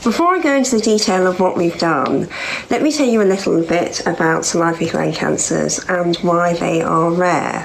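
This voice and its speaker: With a London accent, a woman talks at very even loudness and ordinary pitch variation, amid audible room echo and noticeable background noise. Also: fairly low pitch for a woman, moderate pace. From London, England. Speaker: cancer survivor and charity founder. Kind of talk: conference talk.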